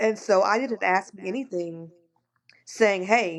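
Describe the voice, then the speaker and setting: This woman keeps her intonation fairly even. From Kansas, US. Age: 40s. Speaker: mental health caseworker, co-host. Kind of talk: casual podcast chat, personal testimony.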